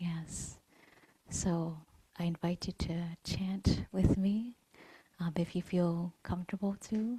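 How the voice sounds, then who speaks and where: Very slow, with long, frequent pauses, a woman speaks at a fairly low pitch in a dark, mellow, somewhat breathy tone. The sound is dry and close, with no echo. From Vietnamese heritage, grew up in Vietnamese Buddhist temples. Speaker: meditation teacher. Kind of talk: dharma talk. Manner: hesitant, many fillers.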